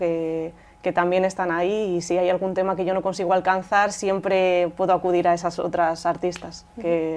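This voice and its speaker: Speaking in a Madrid accent, a woman talks at a fairly quick pace with a medium pitch. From Rivas Vaciamadrid, Spain. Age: young. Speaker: poet and singer-songwriter. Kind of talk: interview answer.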